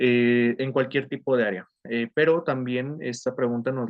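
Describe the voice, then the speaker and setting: This man speaks with fairly even intonation. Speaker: criminologist and security consultant. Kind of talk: online lecture. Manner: fast; hesitant, many fillers.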